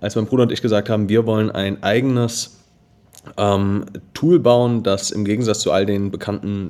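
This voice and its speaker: In a plain, everyday voice, a man speaks at a moderate pace with fairly low pitch and ordinary pitch variation. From Germany, Darmstadt (Hesse). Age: 20s. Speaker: edtech founder. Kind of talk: podcast interview.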